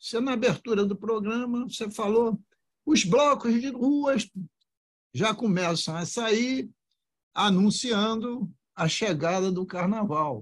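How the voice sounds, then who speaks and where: A man's high-pitched voice at a very slow pace, with long, frequent pauses and ordinary pitch variation. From Rio de Janeiro, Brazil. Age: 70s. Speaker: politician. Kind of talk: podcast interview.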